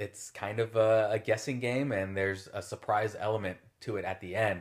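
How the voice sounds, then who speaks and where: Here is an unremarkable speaking voice, a man with an American accent and fairly low pitch. His intonation is fairly even, and the recording is very clean with a silent background. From Southern California. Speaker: sports photographer. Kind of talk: casual interview.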